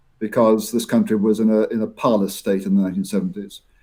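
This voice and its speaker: Dark and mellow in tone, a man speaks at a fairly quick pace with ordinary pitch variation. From Scotland. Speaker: professor. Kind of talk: interview. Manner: halting, many repetitions.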